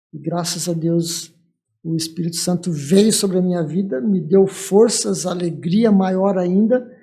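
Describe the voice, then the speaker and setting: A man with a high voice and a dark, mellow tone speaks with fairly even intonation. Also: fairly slow pace. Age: 60s. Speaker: church leader, pastor. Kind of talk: testimony.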